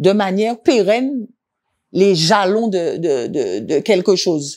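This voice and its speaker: A woman with a dark, mellow tone, very wide pitch swings and a very slow pace. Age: 60s. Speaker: visual artist and art teacher. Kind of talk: interview. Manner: halting.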